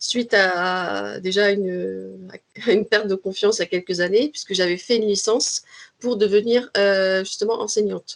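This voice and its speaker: Over music in the background, a woman talks at a medium pitch with fairly even intonation. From Paris region, France. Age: 20s. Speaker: language trainer. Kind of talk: interview. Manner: hesitant, many fillers.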